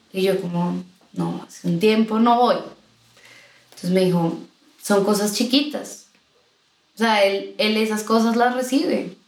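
Speaking with long, frequent pauses, a woman with a fairly high voice uses ordinary pitch variation, and the room's echo is audible. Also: fairly slow pace. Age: 20s. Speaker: singer, guest sharing her faith story. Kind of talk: casual chat, personal testimony. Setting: recorded in person with hosts.

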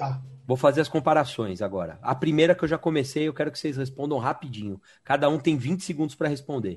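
Vocal fry runs through this animated voice with lively intonation. The pace is very fast, and the background is quiet. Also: man, fairly high pitch for a man. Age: 30s. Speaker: podcast host. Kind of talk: casual chat.

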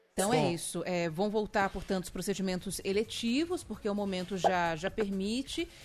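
A woman's unremarkable speaking voice at medium pitch and moderate pace, with ordinary pitch variation. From Rio de Janeiro (Campo Grande). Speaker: radio news host. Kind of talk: radio news talk.

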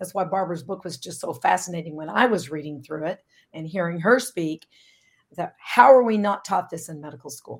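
Her voice is fairly low for a woman, with an unremarkable speaking voice and lively intonation. She talks at a fairly quick pace with big swings in loudness. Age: 60s. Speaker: naturopathic doctor. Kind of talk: interview.

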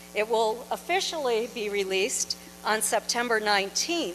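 Over noticeable background noise, a woman with an American accent speaks at a fairly slow pace with lively intonation. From New Hampshire, US. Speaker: author and UFO researcher. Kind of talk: lecture. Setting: stage with audience.

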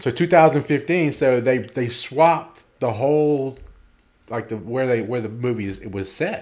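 Here a man talks at medium pitch in an unremarkable speaking voice. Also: ordinary pitch variation, moderate pace. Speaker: podcast co-host. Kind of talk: casual chat.

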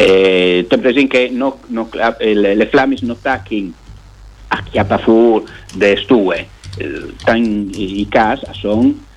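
A man talking at a very slow pace. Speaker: newspaper journalist. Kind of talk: casual radio interview.

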